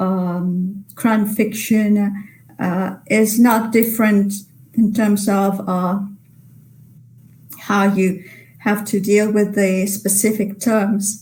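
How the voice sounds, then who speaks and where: In a room with audible echo, a woman speaks very slowly in a dark, mellow, somewhat breathy tone, her intonation monotone and flat, with long, frequent pauses. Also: medium pitch for a woman. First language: Italian. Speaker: literary translator. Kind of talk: webinar Q&A. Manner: halting.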